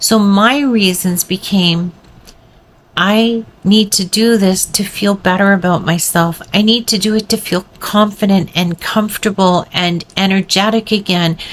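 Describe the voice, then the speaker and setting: A woman with a normal speaking voice talks at a fairly slow pace and medium pitch, her intonation fairly even and her loudness very even. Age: 60s. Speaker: weight loss vlogger. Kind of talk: motivational talk to camera.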